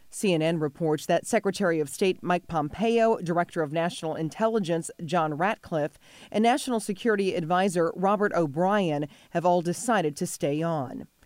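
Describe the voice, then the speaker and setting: In an ordinary speaking voice, a woman with a fairly low pitch and ordinary pitch variation speaks at a moderate pace, her loudness very even, on a very clean recording with a silent background. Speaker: news anchor. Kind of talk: news reading, brisk scripted local TV news bulletin. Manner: formal, crisp and steady; even-paced, authoritative delivery.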